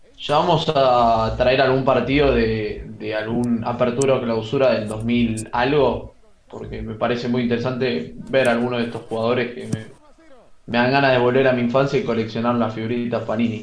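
A man in a Rioplatense accent at medium pitch and moderate pace, with fairly even intonation, audible room echo and noticeable background noise. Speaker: football stream co-host. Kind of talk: casual chat. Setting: online group call.

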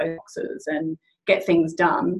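A woman with an Australian accent. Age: 40s. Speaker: general manager of a natural health company. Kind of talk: casual chat.

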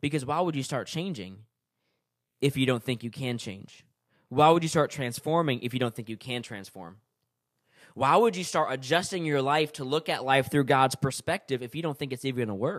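On a very clean recording with a silent background, a man with a plain, everyday voice speaks at medium pitch and a moderate pace with ordinary pitch variation. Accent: American. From California then New York. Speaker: podcast host. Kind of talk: solo podcast talk, book review. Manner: casual, many fillers.

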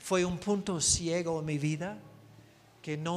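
Audible room echo surrounds a man whose voice sits high in pitch. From United States. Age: 60s. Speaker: missionary preacher. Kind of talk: sermon. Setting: church.

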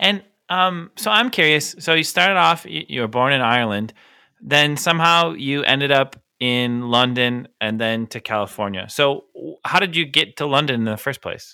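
This man has an unremarkable speaking voice with an American accent. He talks at a moderate pace and a fairly high pitch, with lively intonation. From United States. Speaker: podcast co-host. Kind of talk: casual chat.

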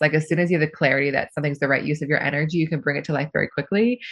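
A woman speaks in an American accent with very deep, low pitch. Her intonation is fairly even. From US Pacific Northwest (Seattle). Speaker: leadership coach. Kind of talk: casual interview.

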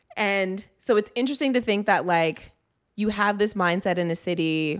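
On a very clean recording with a silent background, a woman with a Toronto accent speaks at a moderate pace. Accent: Toronto Canadian English. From Canada, Greater Toronto Area. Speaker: diversity and inclusion director. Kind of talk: casual chat.

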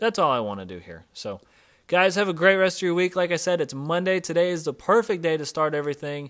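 Speaking at a very fast pace, the man has a high pitch. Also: ordinary pitch variation, very clean recording, silent background. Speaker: fitness coach and podcast host. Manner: emphatic, punchy, commanding, repeating key phrases; upbeat, casual, coach-like, chatty.

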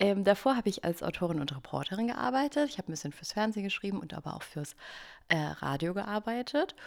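Speaking very fast at a medium pitch, a woman swings widely in both pitch and loudness. The recording is very clean, with a silent background. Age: 30s. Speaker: podcast co-host, former writer on parental leave. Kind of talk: casual chat.

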